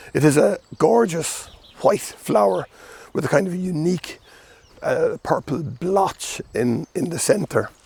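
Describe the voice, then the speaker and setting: Recorded with a dry, close sound and no echo, a man speaks with an Irish accent at a fairly slow pace. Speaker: gardening video host. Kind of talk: casual plant talk. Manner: halting, many fillers.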